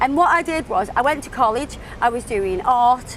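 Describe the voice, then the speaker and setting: A woman with a British accent, a high pitch, lively intonation and a moderate pace, over noticeable background noise. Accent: British, described as beautiful. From England, Stoke-on-Trent. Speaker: nail artist and social media creator. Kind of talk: podcast interview.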